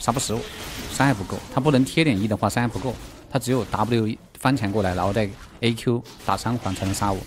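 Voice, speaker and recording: A man talks at a very fast pace in an animated tone, at a medium pitch with ordinary pitch variation. Light background noise is audible. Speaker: game streamer. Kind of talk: live gameplay commentary. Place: home room.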